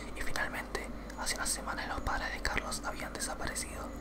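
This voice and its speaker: A man whispering at a fairly quick pace. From Argentina. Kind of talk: ASMR creepypasta reading, whispered ear to ear. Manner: whispered, soft. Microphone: studio mic.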